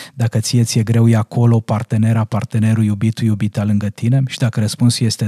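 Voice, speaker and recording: The voice moves at a fairly quick pace with a dark, mellow tone and is somewhat breathy. The sound is dry and close with no echo. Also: man. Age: 40s. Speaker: parenting coach. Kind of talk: casual chat. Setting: studio.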